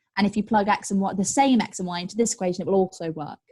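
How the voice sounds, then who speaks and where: A woman speaks at a very fast pace with an energetic tone. Her pitch is medium and her voice somewhat breathy. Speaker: maths tutor. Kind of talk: online group tutorial. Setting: live online session.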